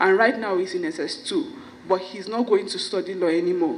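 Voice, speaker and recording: A woman with lively intonation speaks fairly quickly while noticeable background noise plays underneath. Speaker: stammering foundation founder. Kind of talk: event speech. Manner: stammers.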